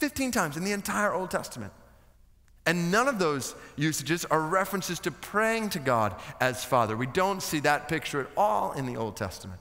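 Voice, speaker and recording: A man speaks at a fairly quick pace, his pitch swinging very widely. The background is quiet. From United States. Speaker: preacher, seminary guest speaker. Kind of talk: sermon preached to a seminary chapel audience. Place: stage. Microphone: headset.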